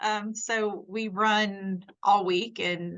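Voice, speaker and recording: In a Southern US accent, a woman speaks at a medium pitch with monotone, flat intonation. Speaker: nurse. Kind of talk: casual chat. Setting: podcast interview.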